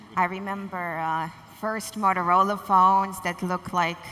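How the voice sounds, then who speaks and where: A woman's bright, sharp voice stays monotone, with flat intonation. Audible room echo surrounds it. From Russia. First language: Russian. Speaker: corporate communications executive. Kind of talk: conference panel talk.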